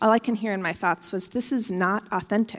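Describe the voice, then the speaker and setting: A plain, everyday voice with an American accent uses ordinary pitch variation. The recording is very clean, with a silent background. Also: woman. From Oregon, US. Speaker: church member giving testimony. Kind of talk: testimony. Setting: church.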